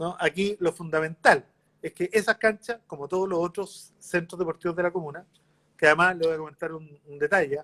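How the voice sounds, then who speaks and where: A man with a Chilean accent, high pitch, fairly even intonation, fairly quick pace and a bright, sharp tone, in a dry, close sound with no echo. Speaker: mayor, politician. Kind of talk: interview.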